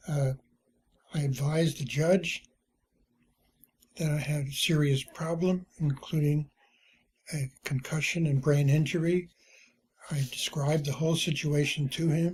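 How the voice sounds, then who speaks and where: A man's fairly high, somewhat breathy voice, monotone and flat, at a fairly slow pace with long, frequent pauses. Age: 80s+. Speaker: retired journalist and publisher. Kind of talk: personal testimony. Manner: halting, with many fillers.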